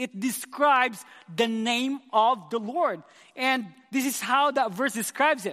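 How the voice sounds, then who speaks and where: A man speaks in a raised, projected voice at an extremely high pitch. His tone is passionate, bright and sharp. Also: ordinary pitch variation, fairly slow pace. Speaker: youth pastor. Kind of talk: sermon. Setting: church.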